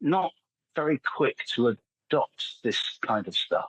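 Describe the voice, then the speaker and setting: A man is speaking. He has an English accent. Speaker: AI content specialist and copywriter. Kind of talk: podcast interview. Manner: halting, frequent repetitions.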